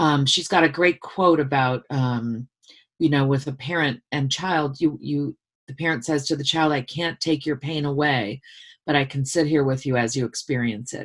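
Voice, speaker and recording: The intonation stays fairly even. It is a very clean recording with a silent background. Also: woman, very deep, low pitch for a woman, moderate pace. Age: 50s. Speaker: author and former university dean. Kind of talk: casual interview.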